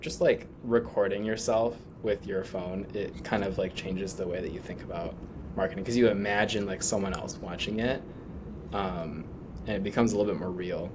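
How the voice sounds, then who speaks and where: A man talks in a fairly low pitch. There is audible room echo along with noticeable background noise. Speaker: startup founder. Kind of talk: casual interview. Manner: monotone.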